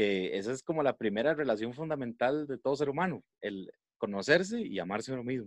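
In a plain, everyday voice, a man talks at a fairly quick pace and medium pitch with lively intonation. The sound is dry and close with no echo. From Costa Rica, San José. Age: 20s. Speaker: podcast guest. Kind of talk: casual chat.

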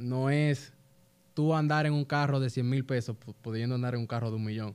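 A man speaks with ordinary pitch variation. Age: 20s. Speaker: young business founder. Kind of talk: casual interview chat.

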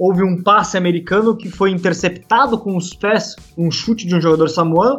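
A man's high-pitched voice with ordinary pitch variation, at a fairly quick pace with hardly any pauses. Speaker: rugby podcast host. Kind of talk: casual sports chat.

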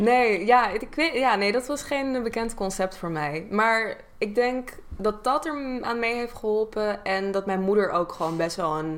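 An ordinary speaking voice from a woman, fairly high-pitched, fairly slow yet with hardly any pauses and lively intonation. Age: 20s. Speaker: YouTuber and content creator. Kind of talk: casual chat.

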